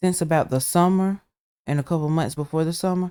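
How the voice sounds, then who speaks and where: Heard on a very clean recording with a silent background, a man with a Southern US accent has a fairly high pitch, a dark, mellow tone and fairly even intonation. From Alabama. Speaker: gaming YouTuber. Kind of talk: gameplay commentary. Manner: casual, with fillers; loud. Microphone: laptop recording, volume wonky.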